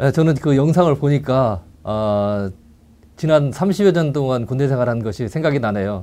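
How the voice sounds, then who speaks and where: With a dark, mellow tone and lively intonation, a man speaks at a fairly slow pace. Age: 60s. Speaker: retired air force NCO, church elder. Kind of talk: casual chat.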